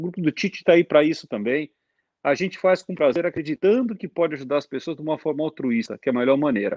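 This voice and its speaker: Talking very fast, a man uses lively intonation in a fairly high voice. The sound is dry and close, with no echo. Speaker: airline captain. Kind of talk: casual chat. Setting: video call.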